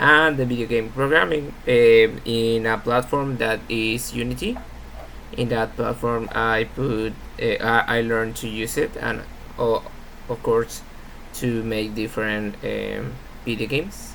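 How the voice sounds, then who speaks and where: Over noticeable background noise, a man with a Spanish accent talks with fairly even intonation. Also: medium pitch for a man, fairly slow pace. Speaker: university student. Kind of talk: class presentation. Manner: halting.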